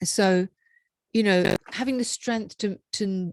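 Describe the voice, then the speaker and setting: A woman's voice at a fairly slow pace, in a dry, close sound with no echo and a very clean recording with a silent background. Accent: Scottish. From Scotland. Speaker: empowerment coach and radio host. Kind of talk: interview. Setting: live video stream.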